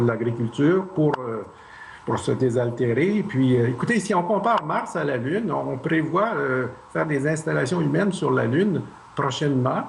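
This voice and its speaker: A man speaks slowly-ish at a fairly high pitch with lively intonation. Noticeable background noise and audible room echo surround him. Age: 60s. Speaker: Mars mission candidate. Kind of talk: TV interview. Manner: hesitant.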